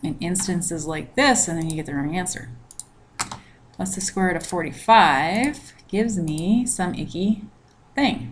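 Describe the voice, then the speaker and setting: Speaking at a moderate pace, a woman uses lively intonation at a fairly low pitch, with audible room echo around her voice. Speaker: math teacher. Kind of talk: recorded lecture.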